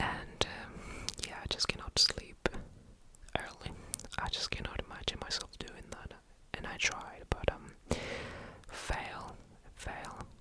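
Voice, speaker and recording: Someone whispers at a very slow pace, with long, frequent pauses and big swings in loudness. Noticeable background noise runs underneath. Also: man. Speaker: ASMR creator. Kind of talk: ASMR ramble. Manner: whispered, soft-spoken.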